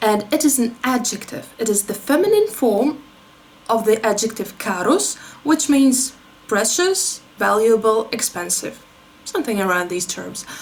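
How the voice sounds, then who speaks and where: A woman's fairly high, lively voice in a Russian accent, fairly slow, over noticeable background noise. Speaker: beauty YouTuber. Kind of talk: commentary video with on-screen demonstration. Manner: explanatory, conversational.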